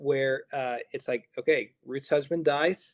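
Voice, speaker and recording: This man has an ordinary speaking voice, fairly high in pitch for a man, with ordinary pitch variation and a dry, close sound with no echo. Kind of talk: interview answer explaining Bible.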